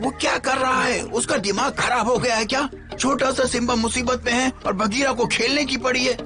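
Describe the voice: A cartoonish character voice, fairly high and fairly quick, over clear music in the background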